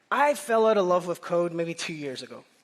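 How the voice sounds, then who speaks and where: The speaker has a Northern Irish accent and an animated tone. The pace is moderate. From Northern Ireland. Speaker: conference speaker, software engineer. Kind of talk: conference talk.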